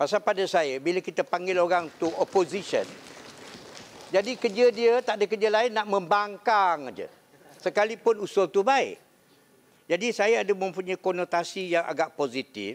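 A man at a high pitch, moderate in pace, with ordinary pitch variation. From Malaysia. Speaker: state assembly speaker, audience questioner; speaker, questioner. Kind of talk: audience question. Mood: jovial, joking. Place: hall. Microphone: podium.

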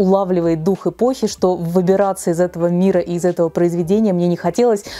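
The speaker is a woman. She talks at a fairly quick pace. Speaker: book blogger. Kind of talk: casual vlog chat. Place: home room. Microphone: lapel.

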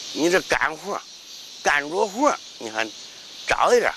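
Over noticeable background noise, a voice with a Henan accent makes very wide pitch swings in a dry sound with no echo. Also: man. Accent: Henan dialect Mandarin. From Henan, China (Dengfeng); Henan, China. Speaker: martial arts grandmaster. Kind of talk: interview; interview answer. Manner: halting. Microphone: lapel.

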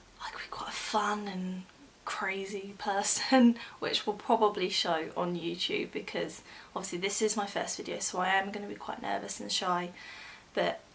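A woman talks at a fairly slow pace with vocal fry and monotone, flat intonation. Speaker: new vlogger. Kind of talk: casual vlog chat. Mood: slightly nervous, chatty. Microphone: phone near.

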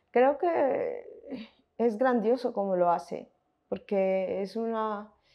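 Fairly high in pitch, a woman speaks at a very slow pace. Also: ordinary pitch variation, quiet background. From Colombia, Montes de María (Caribbean region); Colombia. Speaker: researcher and film commentator; interviewee. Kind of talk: interview. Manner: halting, with fillers and self-corrections. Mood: calm, thoughtful.

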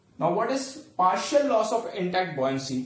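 Audible room echo surrounds a man speaking at a high pitch and a moderate pace. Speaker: teacher. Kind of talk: lecture. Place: home room. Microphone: camera far.

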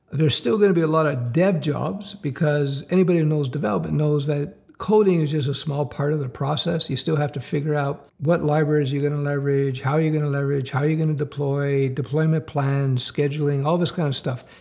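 The background is quiet. A man talks at a fairly quick pace in a somewhat breathy voice. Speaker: career coach for developers. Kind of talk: commentary. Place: home room.

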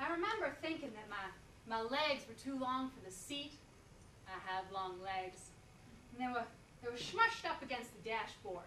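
A woman with a high-pitched voice speaks at a moderate pace, her intonation lively and her loudness swinging widely. Long pauses come often, with light background noise and audible room echo. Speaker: performer. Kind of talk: stage monologue performance. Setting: stage with audience. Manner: animated, comic, coy character voice with laughs; halting, hesitant, flustered, stammering repeats. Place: stage. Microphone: camera far.

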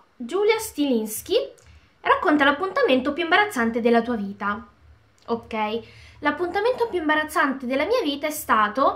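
A woman speaks at a high pitch with very wide swings. Long pauses come often. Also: moderate pace. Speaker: video blogger. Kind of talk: casual chat, Q&A to camera. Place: home room. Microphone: phone near.

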